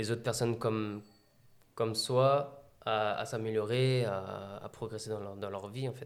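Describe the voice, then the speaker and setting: A man with an unremarkable speaking voice, medium in pitch, with fairly even intonation at a fairly slow pace. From France, Meaux (Seine-et-Marne). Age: 20s. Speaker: athlete and adventurer. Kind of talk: interview.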